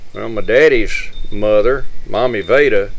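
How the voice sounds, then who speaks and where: A man with an East Texas accent, at a very slow pace. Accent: East Texas Southern US. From Northeast Texas. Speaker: community elder. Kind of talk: storytelling.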